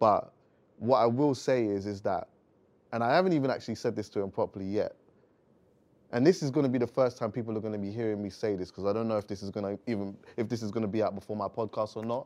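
A man talks at a very fast pace in a London accent, at medium pitch with ordinary pitch variation. The background is quiet. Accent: London urban. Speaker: podcast host. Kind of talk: casual interview chat. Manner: relaxed, conversational.

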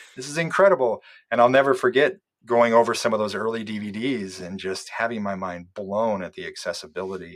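In a plain, everyday voice, a man talks at a medium pitch with an American accent. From US Midwest (Iowa). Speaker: documentary filmmaker and bonus-feature producer. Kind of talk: interview conversation.

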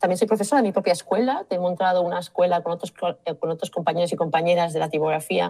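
The voice has a dark, mellow tone. It races along at a very fast pace. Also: woman, fairly low pitch for a woman, ordinary pitch variation. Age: 50s. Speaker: type designer. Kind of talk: interview.

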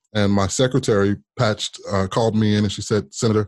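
A man with a fairly low pitch and an American accent, an ordinary speaking voice at a fairly quick pace, over a quiet background. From US Midwest and Las Vegas. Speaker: former politician. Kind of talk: interview storytelling.

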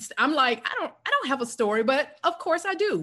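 With an American accent, a woman speaks in a bright, sharp tone. Her pitch swings very widely. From US South, South Carolina. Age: 50s. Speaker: podcast host and speaker coach. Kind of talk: casual interview.

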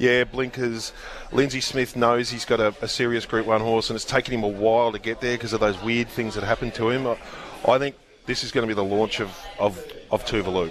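With an Australian accent, a man talks at medium pitch and a fairly quick pace. His intonation is monotone and flat, with noticeable background noise behind him. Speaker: racing journalist panelist. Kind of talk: live radio chat.

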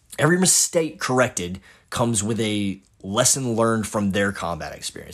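Over a very clean recording with a silent background, a man with a plain, everyday voice and a fairly low pitch speaks at a moderate pace. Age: 30s. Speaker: podcast host and Marine infantry veteran. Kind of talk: solo monologue podcast.

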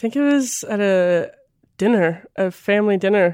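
A woman talks at a moderate pace in a Midwestern American accent, her tone dark and mellow. The sound is dry and close, with no echo. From rural northern Missouri. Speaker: college basketball player. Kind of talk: interview testimony. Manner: casual, many fillers.

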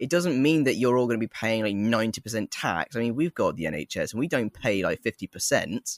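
A man with an English accent talks at a very fast pace, with hardly any pauses and lively intonation at a medium pitch. The sound is dry and close with no echo, on a very clean recording with a silent background. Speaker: TikTok creator who plays Jesus. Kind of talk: casual chat. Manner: halting, repeats words.

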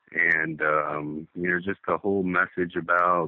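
A man with an East Coast US accent, very deep and low in pitch, at a fairly slow pace with fairly even intonation. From Delaware. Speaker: caller, juggalo. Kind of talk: phone interview. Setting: phone call.

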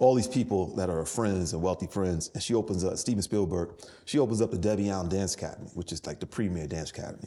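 A very fast man with a New York accent, a very deep, low pitch, a dark, mellow tone and ordinary pitch variation. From New York City, the Bronx. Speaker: entrepreneur. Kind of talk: interview. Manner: casual.

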